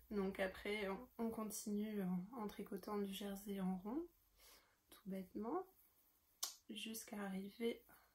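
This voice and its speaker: A woman talks at a very slow pace, her voice somewhat breathy. Her pitch varies in an ordinary way. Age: 20s. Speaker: knitting podcaster. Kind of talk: casual show-and-tell tutorial. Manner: hesitant, many fillers.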